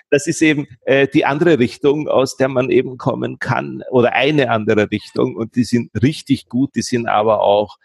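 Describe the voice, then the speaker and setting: A man at a moderate pace with hardly any pauses, in a dry, close sound with no echo. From Austria, Vienna. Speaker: SEO and online marketing consultant. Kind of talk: interview. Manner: hesitant, many fillers.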